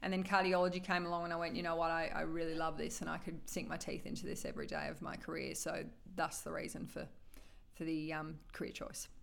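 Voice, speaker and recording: A woman with an Australian accent talks at a very fast pace and a fairly low pitch, with vocal fry and audible room echo. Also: fairly even intonation. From Australia, regional northern Victoria (Shepparton). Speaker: cardiology doctor. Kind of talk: interview. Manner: hesitant, many fillers.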